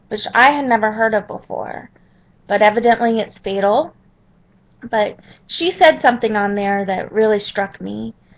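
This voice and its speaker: A woman's fairly high pitch with ordinary pitch variation and long, frequent pauses. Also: moderate pace. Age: 30s. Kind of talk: personal testimony to webcam.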